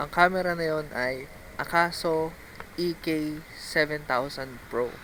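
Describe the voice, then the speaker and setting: At a very slow pace, a man speaks with fairly high pitch. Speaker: vlogger, BMX rider. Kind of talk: vlog voice-over. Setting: outdoors, riding in traffic. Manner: casual, halting with fillers. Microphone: no mic on camera, voice-over recorded.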